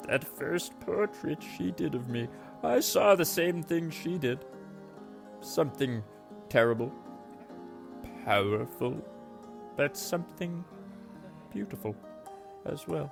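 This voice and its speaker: Using a put-on character voice at a medium pitch, a man speaks at a fairly slow pace with long, frequent pauses while music plays clearly behind him. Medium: audio drama.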